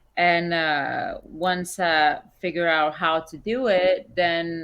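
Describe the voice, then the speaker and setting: A woman's bright, sharp tone at a fairly low pitch, in a non-native accent, over a quiet background. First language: not English. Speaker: musician. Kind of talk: interview.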